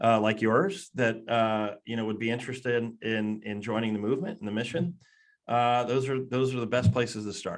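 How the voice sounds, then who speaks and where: A man with an American accent at a fairly quick pace, ordinary pitch variation and a quiet background. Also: medium pitch for a man. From Philadelphia area, US. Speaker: hiring platform executive. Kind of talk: casual interview chat.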